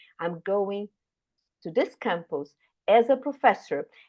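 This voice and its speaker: A woman with a Brazilian Portuguese accent at a moderate pace. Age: 60s. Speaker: retired scientist, professor. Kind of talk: career talk at online panel.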